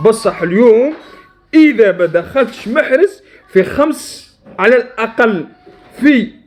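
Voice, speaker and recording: A man speaks in an Algerian accent. His intonation is lively. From Algeria, Djelfa region. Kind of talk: satirical football rant to camera. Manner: heated, pleading.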